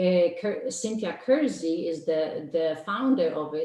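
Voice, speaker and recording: Spoken at a very slow pace with lively intonation, this voice carries a Polish accent. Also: woman. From Poland. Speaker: life coach. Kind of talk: interview. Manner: hesitant, many fillers.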